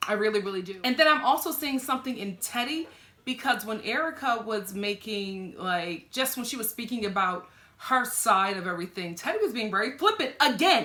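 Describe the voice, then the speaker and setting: A woman with a fairly high pitch speaks at a fairly quick pace in an animated tone with lively intonation, against noticeable background noise. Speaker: TV reality show reviewer. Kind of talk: reaction video commentary. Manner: animated, conversational.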